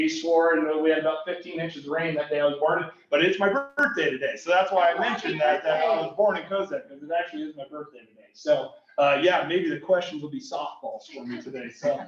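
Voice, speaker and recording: Talking at a very fast pace with a high pitch and a Midwestern US accent, a man shows ordinary pitch variation and big swings in loudness, with audible room echo and noticeable background noise. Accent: US Midwest. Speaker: school superintendent. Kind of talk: informal presentation. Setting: library conference room with small audience. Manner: fast when excited; halting.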